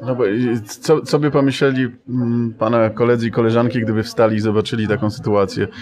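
Very fast speech from a man at a medium pitch, with fairly even intonation. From Poland, Silesia. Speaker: interviewer. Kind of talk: interview. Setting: bookshop after author event.

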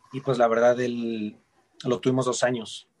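This is a man talking. His voice stays at a medium pitch. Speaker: ballet dancer. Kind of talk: interview. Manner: halting, frequent repetitions.

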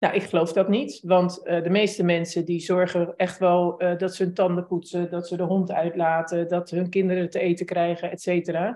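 The woman's voice has a dark, mellow tone and fairly low pitch, delivered at a moderate pace with monotone, flat intonation. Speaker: podcast host interviewer. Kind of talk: casual interview chat. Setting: live video call with chat.

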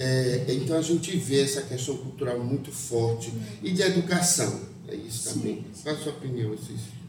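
A man talks at a moderate pace with ordinary pitch variation. Audible room echo and noticeable background noise surround him. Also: medium pitch for a man. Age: 50s. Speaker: librarian podcast co-host. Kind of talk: podcast interview. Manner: halting.

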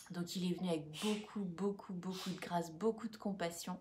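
Somewhat breathy with a dark, mellow tone, a woman speaks at a medium pitch and a fairly slow pace with ordinary pitch variation. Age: 30s. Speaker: school employee and co-host. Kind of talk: casual livestream chat.

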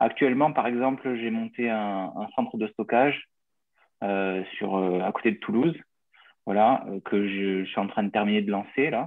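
Long, frequent pauses break up fairly slow speech that has ordinary pitch variation. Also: man, medium pitch for a man. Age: 30s. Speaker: small business owner, would-be emigrant. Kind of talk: question in live Q&A. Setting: video call.

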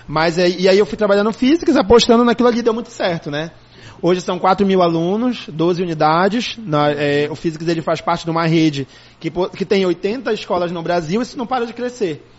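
Over noticeable background noise, a man speaks at a moderate pace in a high voice with ordinary pitch variation. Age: 30s. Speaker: school director and educator. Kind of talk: casual interview.

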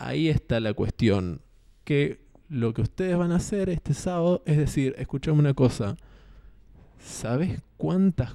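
Over a very clean recording with a silent background and a dry, close sound with no echo, a man with a Rioplatense accent speaks at a fairly slow pace in a dark, mellow tone with lively intonation. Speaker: podcast host. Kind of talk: casual monologue. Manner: halting.

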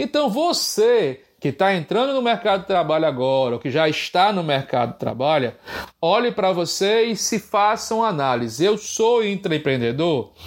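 This man's voice sits high for a man and swings very widely in pitch at a moderate pace, captured on a very clean recording with a silent background. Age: 40s. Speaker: podcast host and business educator. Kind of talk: solo podcast monologue.

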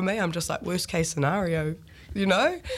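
With a New Zealand accent, a woman talks very fast over noticeable background noise. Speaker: songwriter and band frontperson. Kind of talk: casual radio interview.

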